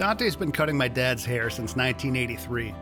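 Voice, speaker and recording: A medium-pitched male voice at a fairly quick pace with music in the background. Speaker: video host and home gardener. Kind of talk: documentary voice-over narration.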